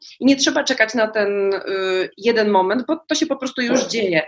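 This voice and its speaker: Her pitch varying in an ordinary way, a woman speaks very fast. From Poland, small town. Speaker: journalist and life coach. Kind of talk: casual chat. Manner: animated.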